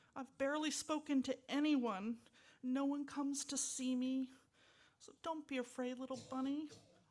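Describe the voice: Putting on a character voice, a woman sounds high and gruff in a sad, gentle tone, with fairly even intonation at a moderate pace.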